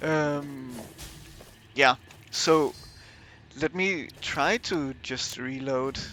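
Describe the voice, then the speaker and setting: Music in the background behind a man with a Danish accent, fairly high in pitch, at a very slow pace with long, frequent pauses and fairly even intonation. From Denmark. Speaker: gaming streamer. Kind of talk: live gameplay commentary. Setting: livestream. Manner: hesitant, many fillers.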